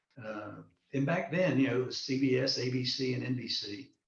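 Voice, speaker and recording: A man at medium pitch with ordinary pitch variation and audible room echo. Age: 60s. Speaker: political candidate and retired military officer. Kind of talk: online interview. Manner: hesitant, many fillers and repetitions.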